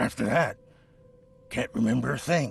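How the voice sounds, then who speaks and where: A man puts on a raspy character voice at a medium pitch, delivered at a moderate pace. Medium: video game. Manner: nervous, stammering.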